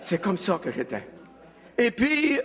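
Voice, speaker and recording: A man speaks at a moderate pace with very wide pitch swings, with noticeable background noise behind him. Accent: Quebec. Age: 70s. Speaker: evangelist. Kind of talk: testimony.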